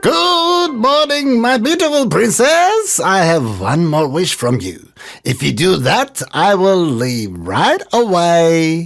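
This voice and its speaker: Over faint music in the background, a croaky, put-on character voice at middle pitch speaks at a very slow pace with hardly any pauses. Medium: read story. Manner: polite, croaks "ribbit".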